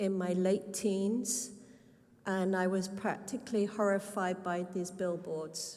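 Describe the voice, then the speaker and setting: Someone with a British accent talks at a very slow pace in a monotone, flat intonation. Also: woman. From Britain. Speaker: artist, resident at public hearing. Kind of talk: public comment.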